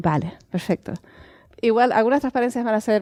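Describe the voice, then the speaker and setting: Very fast speech with a Canarian accent, dark and mellow in tone, fairly even in intonation, in a dry, close sound with no echo. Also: woman. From Canary Islands, Tenerife. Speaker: astronomer. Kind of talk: public science lecture. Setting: museum lecture with audience.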